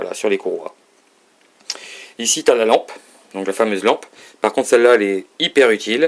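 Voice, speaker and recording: This is a man speaking. He talks at a very fast pace. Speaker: hobbyist showing a lathe. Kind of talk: tutorial. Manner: halting.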